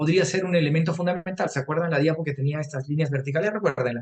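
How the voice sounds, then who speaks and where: A man with a fairly high voice talks very fast. His pitch varies in an ordinary way. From Peru, Arequipa. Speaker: nutrition lecturer. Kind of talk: lecture.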